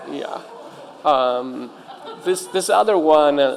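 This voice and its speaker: Noticeable background noise beneath a male speaker, pitch varying in an ordinary way. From Italy. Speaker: game designer and professor. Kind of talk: conference panel talk. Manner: halting, many fillers.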